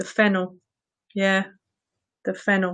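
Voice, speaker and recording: A woman with an English accent. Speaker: vegetable-themed entertainer. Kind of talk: casual live-streamed chat. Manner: animated.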